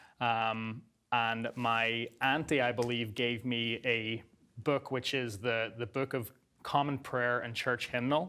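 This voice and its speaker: A man with an Irish accent speaks at a very slow pace in a bright, sharp tone, his intonation fairly even, on a very clean recording with a silent background. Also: medium pitch for a man. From Northern Ireland. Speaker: guest sharing life story. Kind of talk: interview testimony.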